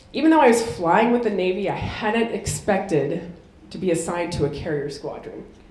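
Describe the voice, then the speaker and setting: With an American accent, a woman talks at a moderate pace in very wide pitch swings, with noticeable background noise and audible room echo. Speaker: military officer and keynote speaker. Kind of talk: keynote speech.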